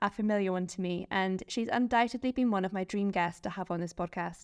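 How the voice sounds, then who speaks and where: An ordinary speaking voice from a woman at a fairly quick pace, on a very clean recording with a silent background. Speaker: podcast host. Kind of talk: interview chat.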